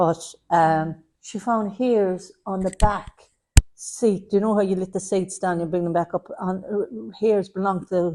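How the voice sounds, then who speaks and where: A woman with an Irish accent speaks at a fairly slow pace. Her tone is dark and mellow, with ordinary pitch variation. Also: medium pitch for a woman. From Ireland. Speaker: medium. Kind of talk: platform mediumship demonstration. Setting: spiritualist centre with audience.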